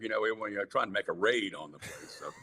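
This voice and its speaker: A man in a Southern US accent talks at a fairly quick pace. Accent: Southern American. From Jacksonville, Florida. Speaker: rock singer. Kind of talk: interview answer. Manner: warm storytelling.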